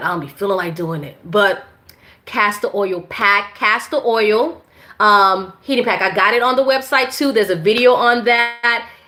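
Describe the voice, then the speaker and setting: The woman's voice rests at a medium pitch. It moves up and down in an ordinary way. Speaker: women's health and herbal wellness educator. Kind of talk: live-stream Q&A. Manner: loud; casual, halting with many fillers.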